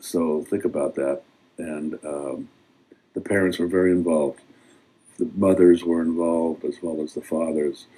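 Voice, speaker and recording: In an American accent, a man with a very deep, low pitch and a dark, mellow tone talks at a moderate pace with monotone, flat intonation. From Pacifica, California, US. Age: 60s. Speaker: local resident sharing memories. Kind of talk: reminiscing talk at community event. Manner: hesitant, many fillers.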